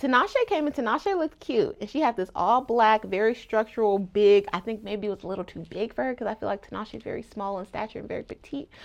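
A woman with an American accent talks very fast in a fairly high voice and an animated tone. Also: ordinary pitch variation, hardly any pauses, big swings in loudness. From Los Angeles. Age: 20s. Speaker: podcast host. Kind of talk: casual solo commentary.

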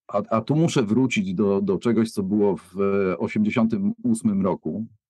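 Recorded with a dry, close sound and no echo, a man speaks at a medium pitch with ordinary pitch variation. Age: 50s. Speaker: music producer. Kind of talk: casual chat. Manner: halting.

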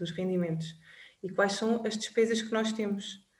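A medium-pitched woman's voice in a room with audible echo. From Portugal, Covilhã. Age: 30s. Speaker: personal finance advisor. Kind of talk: interview.

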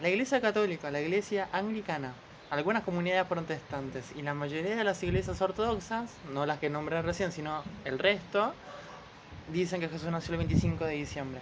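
A woman with a fairly low pitch speaks at a moderate pace with lively intonation. Background noise is noticeable. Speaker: podcast co-host. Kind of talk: casual chat.

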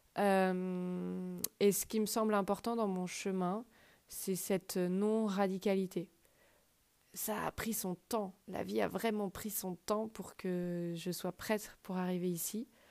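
A very slow, monotone, flat woman's voice at medium pitch, on a very clean recording with a silent background. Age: 30s. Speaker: podcast host. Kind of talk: personal monologue. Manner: hesitant with fillers.

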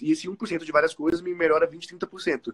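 The pitch varies in an ordinary way. The sound is dry and close, with no echo. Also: man. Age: 20s. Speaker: entrepreneur and programmer. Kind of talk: interview.

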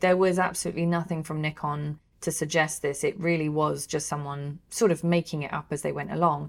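Over a very clean recording with a silent background, a woman speaks in an ordinary speaking voice at a fairly quick pace and fairly low pitch, with fairly even intonation. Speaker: co-host, camera shop worker. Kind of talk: casual news roundup podcast.

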